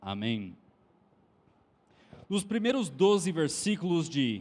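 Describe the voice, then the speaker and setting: Using very wide pitch swings, a man with an American accent talks at a fairly slow pace and a high pitch. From Texas. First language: English (speaking Portuguese). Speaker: preacher. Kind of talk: sermon.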